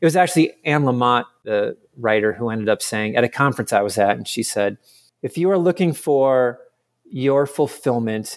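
A man with an ordinary speaking voice, medium pitch and moderate pace on a very clean recording with a silent background. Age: 40s. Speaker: author. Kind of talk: casual chat.

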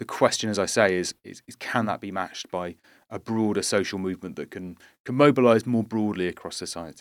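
A British accent at a fairly quick pace, with ordinary pitch variation and big swings in loudness. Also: man, fairly low pitch for a man, very clean recording, silent background. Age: 30s. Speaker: activist and author. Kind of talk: interview.

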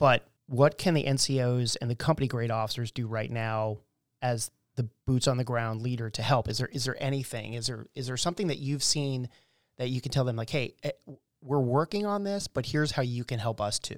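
In a very clean recording with a silent background and a dry, close sound with no echo, an ordinary speaking voice goes at a fairly quick pace with ordinary pitch variation. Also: man, medium pitch for a man. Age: 50s. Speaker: podcast host, military veteran. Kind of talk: interview.

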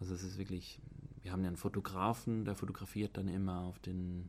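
Very deep and low, a man's voice holds a fairly even intonation. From Switzerland. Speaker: student. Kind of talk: casual chat. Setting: outdoors.

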